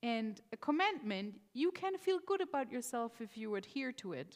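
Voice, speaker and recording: A woman with a non-native accent and very wide pitch swings. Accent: non-native English accent, mistaken for Irish. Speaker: rabbi. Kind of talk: sermon. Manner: conversational, some hesitations.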